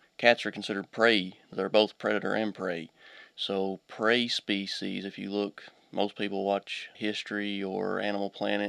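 A man with an Appalachian accent talks at a moderate pace in a fairly low pitch, his intonation monotone and flat. The sound is dry and close with no echo, on a very clean recording with a silent background. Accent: Appalachian Kentucky. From Eastern Kentucky (Pike County). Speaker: veterinarian. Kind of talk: radio interview. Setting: studio.

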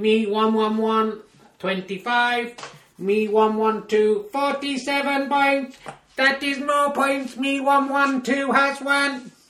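A put-on character voice sounds robotic at a fairly high pitch. It moves at a very slow pace with a slight echo. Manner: robotic, flat, mechanical.

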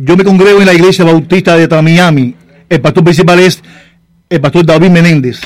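A man with a Cuban accent speaks at a fairly quick pace in a high voice. His loudness is very even and his intonation fairly even. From Cárdenas, Cuba. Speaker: pastor and poet. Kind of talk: radio interview.

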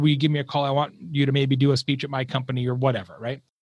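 A man speaks very fast with an American accent. His voice is fairly high and somewhat breathy. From Arizona, US Southwest. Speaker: marketing keynote speaker and author. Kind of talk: casual interview.

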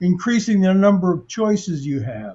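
This man has a high-pitched voice. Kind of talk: panel discussion.

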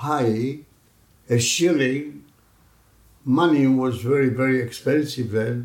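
Speaking with a Greek accent, a man keeps a medium pitch and fairly even intonation. His pace is very slow. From Greece. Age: 90s. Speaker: community elder, immigrant. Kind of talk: oral history interview.

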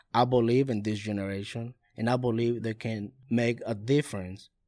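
Speaking at a fairly slow pace with a Spanish accent, a man keeps a medium pitch and fairly even intonation in a very clean recording with a silent background. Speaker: youth pastor. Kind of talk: interview. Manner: halting.

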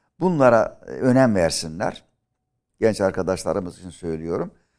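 On a very clean recording with a silent background, a man with a normal speaking voice talks at a moderate pace, his fairly low pitch carrying lively intonation. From Aegean Turkey (Milas, Muğla). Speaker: history professor. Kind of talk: interview. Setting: studio.

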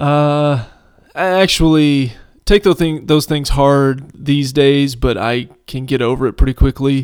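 A man's fairly slow, fairly high-pitched delivery in a normal speaking voice, with fairly even intonation. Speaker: podcast host. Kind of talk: casual banter. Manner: joking, sarcastic.

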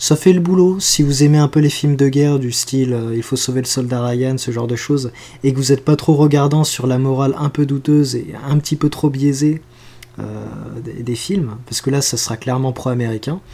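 Fairly high in pitch, a man speaks with a dark, mellow tone and fairly even intonation. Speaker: podcast co-host. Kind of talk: casual chat.

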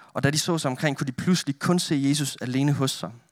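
An unremarkable speaking voice from a man, medium in pitch with ordinary pitch variation, at a moderate pace, on a very clean recording with a silent background. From northern Denmark. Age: 20s. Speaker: youth pastor and photographer. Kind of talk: sermon with prayer. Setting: church with audience.

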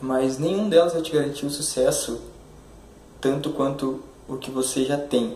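A man talks at a moderate pace with long, frequent pauses and fairly even intonation in a fairly high voice. Audible room echo and noticeable background noise fill the recording. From Curitiba, southern Brazil. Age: 20s. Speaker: YouTuber / motivational speaker. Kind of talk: motivational monologue to camera. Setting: recorded video. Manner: halting, many fillers.

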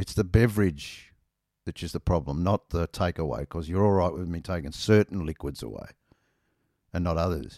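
Dark and mellow in tone, the voice moves at a moderate pace with ordinary pitch variation. The recording is very clean and dry, close, with a silent background and no echo. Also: man, very deep, low pitch for a man. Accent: Australian. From Australia. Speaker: podcast host, motorcyclist. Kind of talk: casual solo monologue. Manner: rambling, casual, self-deprecating.

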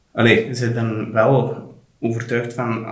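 Audible room echo follows a man whose voice sits at medium pitch. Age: 30s. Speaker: general practitioner, father. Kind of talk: casual interview, personal birth story. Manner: halting, with many restarts. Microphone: poor sound quality in recording.

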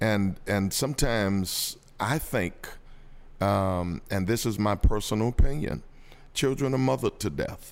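A man speaks in an ordinary speaking voice at a fairly slow pace, his pitch fairly low with ordinary variation, on a very clean recording with a silent background. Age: 50s. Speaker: pastor. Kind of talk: casual chat.

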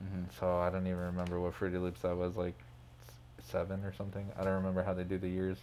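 The voice has a dark, mellow tone and moves at a very fast pace in a monotone, flat intonation. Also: man, very deep, low pitch for a man. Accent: American. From Phoenix, Arizona. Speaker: DJ and music producer. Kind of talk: casual interview chat. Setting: studio.

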